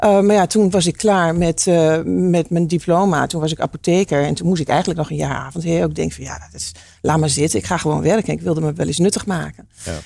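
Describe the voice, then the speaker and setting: A woman talks at a fairly quick pace with hardly any pauses. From eastern Netherlands, Hengelo (Twente). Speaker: entrepreneur, pharmacist. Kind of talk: interview.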